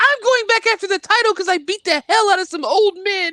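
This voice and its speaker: A put-on character voice squeaks at an extremely high pitch. The pace is very fast. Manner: comic exaggerated.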